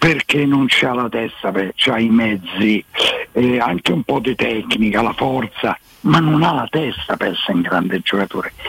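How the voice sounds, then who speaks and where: With a Roman accent, the speaker uses lively intonation at a moderate pace over noticeable background noise. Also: man, medium pitch for a man. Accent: Roman Italian. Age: 80s+. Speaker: caller. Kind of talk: casual chat. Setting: phone call.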